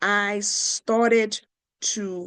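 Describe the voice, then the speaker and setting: In a Nigerian accent, a woman speaks with an animated tone at medium pitch, the sound dry and close with no echo against a quiet background. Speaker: podcast host, life coach. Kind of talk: motivational talk. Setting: podcast recording.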